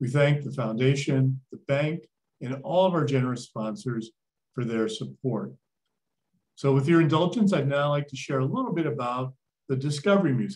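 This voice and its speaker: A man with a fairly high, somewhat breathy voice talks at a moderate pace, his pitch varying in an ordinary way. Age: old. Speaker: museum CEO and event host. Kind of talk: moderated talk introduction and Q&A. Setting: virtual event video call.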